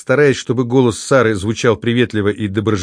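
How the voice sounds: The speaker uses a natural reading voice. Words are read out from a text.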